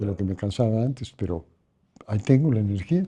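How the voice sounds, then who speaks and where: In a Mexican accent, a man speaks at a moderate pace with a medium pitch. His tone is dark and mellow, and somewhat breathy. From Mexico City. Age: 70s. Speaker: cultural heritage keeper. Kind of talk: interview conversation. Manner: halting.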